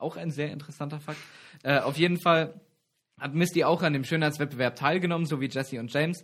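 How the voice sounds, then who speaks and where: Fairly high male voice at a very fast pace, with fairly even intonation, on a very clean recording over total silence. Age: 20s. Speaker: campus radio co-host. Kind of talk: casual trivia chat show.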